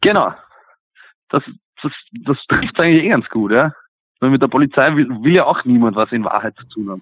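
A man speaks with a Viennese accent, his lively intonation broken up by long, frequent pauses. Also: medium pitch for a man, fairly quick pace. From Vienna, Simmering. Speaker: punk band singer. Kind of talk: interview. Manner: hesitant, many fillers.

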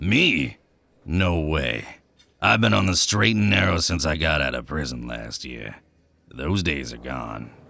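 A man puts on a character voice, very deep and raspy. He speaks at a fairly slow pace with very wide pitch swings. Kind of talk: hard-boiled crime drama. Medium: audio drama. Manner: cocky, evasive, wisecracking.

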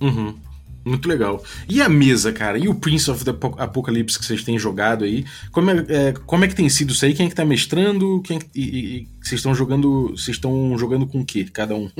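A man speaks at a fairly quick pace with lively intonation and a medium pitch. Noticeable background noise sits behind his voice. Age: 40s. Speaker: podcast host. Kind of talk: scripted narration; casual chat.

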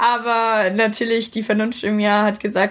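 A woman speaks in a fairly high pitch. The recording is very clean, with a silent background. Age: 20s. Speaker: podcast co-host, student. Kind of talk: casual chat.

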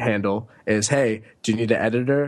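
A man speaks in an American accent. His pitch sits in the medium range. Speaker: author and digital nomad. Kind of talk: casual interview.

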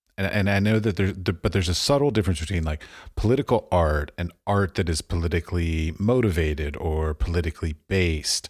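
A man's very deep, low, somewhat breathy voice in an American accent, fairly quick, with ordinary pitch variation. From Washington, D.C., US. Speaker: podcast host. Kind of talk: interview.

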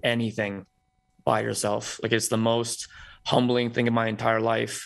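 This man speaks at a fairly quick pace with a medium pitch. His delivery is a flat monotone against a quiet background. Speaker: premed student. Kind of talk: casual chat.

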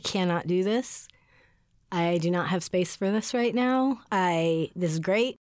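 An ordinary speaking voice with ordinary pitch variation comes at a fairly slow pace on a very clean recording with a silent background. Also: woman. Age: 40s. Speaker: podcast co-host and editor. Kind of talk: casual chat.

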